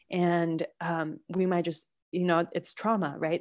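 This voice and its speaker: A woman's fairly low voice in a flat monotone. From Colombia. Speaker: intuitive healer and energy worker. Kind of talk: interview conversation. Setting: video call.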